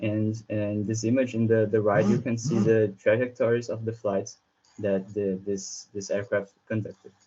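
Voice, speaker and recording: A man in a Brazilian Portuguese accent, fairly low in pitch, at a moderate pace with monotone, flat intonation. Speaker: researcher. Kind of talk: conference presentation. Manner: halting, with many fillers and repetitions.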